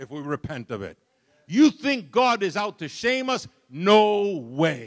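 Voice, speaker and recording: The speaker talks fairly slowly in a New York accent, with very wide pitch swings and big swings in loudness. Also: man, high pitch for a man. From Brooklyn, New York. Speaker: pastor. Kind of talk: sermon. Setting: church.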